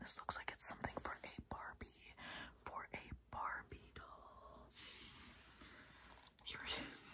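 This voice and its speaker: The speaker is whispering. The pace is very slow. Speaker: ASMR creator. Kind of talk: ASMR unboxing, whispered talk to camera. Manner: whispered, soft. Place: home room. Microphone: phone near.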